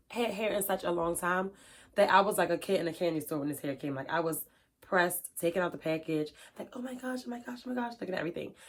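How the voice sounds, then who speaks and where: A woman's fairly low voice at a very fast pace, with an animated tone and lively intonation, on a very clean recording with a silent background. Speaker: beauty YouTuber. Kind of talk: casual product unboxing vlog.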